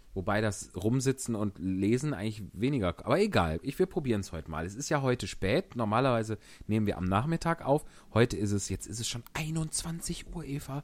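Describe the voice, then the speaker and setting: A man speaks at a fairly quick pace with lively intonation and a medium pitch, on a very clean recording with a silent background. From Germany, Wuppertal. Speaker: actor and podcast host. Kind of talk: casual chat and reading aloud.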